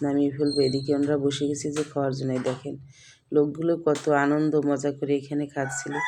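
Through noticeable background noise, a woman speaks at a very deep, low pitch with monotone, flat intonation. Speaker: cooking vlogger. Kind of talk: vlog narration. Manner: casual, chatty.

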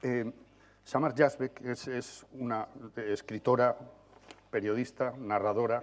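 Male speech with fairly even intonation. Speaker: journalist, panel moderator. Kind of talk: moderating a panel. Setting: conference hall with audience. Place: stage.

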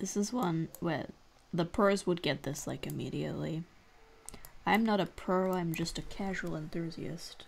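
Light background noise sits behind a woman speaking at a moderate pace in a fairly low pitch with vocal fry. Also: ordinary pitch variation. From Australia, Victoria. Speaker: gaming youtuber; gaming streamer. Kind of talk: gameplay commentary. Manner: thinking aloud, hesitant. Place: home room.

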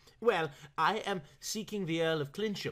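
A shaky, put-on character voice at a middle pitch moves along at a moderate pace. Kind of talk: respectful. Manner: trembly, nervous.

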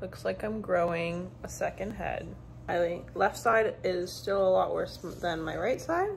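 A woman at a very slow pace over light background noise. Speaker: vlogger. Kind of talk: casual vlog chat. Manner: muffled speech through swollen post-surgery cheeks. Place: home room. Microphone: phone near.

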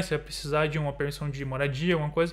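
Against a quiet background, a man is heard. He talks at a very fast pace. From Brazil. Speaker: YouTuber living abroad. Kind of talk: casual chat. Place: home room.

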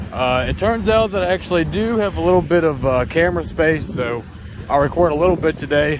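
Against noticeable background noise, a man talks at a fairly quick pace with ordinary pitch variation, the sound dry with no echo. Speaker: street preacher vlogger. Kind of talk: casual vlog chat. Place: street. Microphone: phone near.

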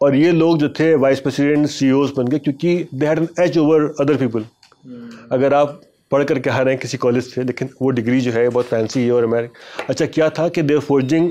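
Fairly high male pitch, fairly even intonation and very even loudness, delivered by a man at a moderate pace. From India, Lucknow; India. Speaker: journalist and author; journalist. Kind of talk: interview storytelling. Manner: conversational. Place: studio. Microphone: lapel.

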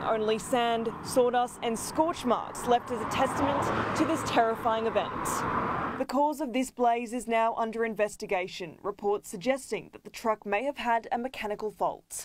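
Amid noticeable background noise, a woman speaks at a moderate pace with big swings in loudness. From Australia. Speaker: TV news reporter. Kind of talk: TV news report.

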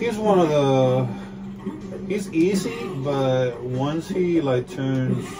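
Clear music can be heard in the background. A man talks very slowly over it. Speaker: gamer. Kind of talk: casual gameplay commentary. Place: home room. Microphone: phone near.

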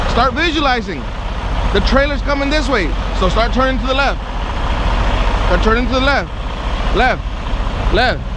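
Against loud background noise, the speech comes at a moderate pace with long, frequent pauses and a dry sound with no echo. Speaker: truck driving trainer. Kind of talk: instruction and coaching. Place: open country.

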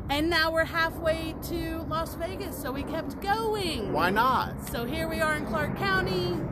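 A woman speaks at a fairly slow pace with music in the background. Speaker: live streamer. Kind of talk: casual vlog chat. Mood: cheerful, relaxed. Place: garden. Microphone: phone near.

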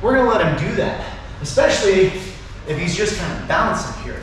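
A man's voice in strong room echo with light background noise. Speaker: martial arts instructor. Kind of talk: tutorial. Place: garage. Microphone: camera far.

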